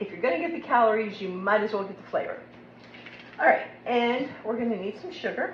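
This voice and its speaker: A woman with an American accent speaks at a fairly quick pace, her fairly high voice showing lively intonation and big swings in loudness. Noticeable background noise and audible room echo fill the recording. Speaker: cooking video host. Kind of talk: cooking tutorial. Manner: casual, chatty.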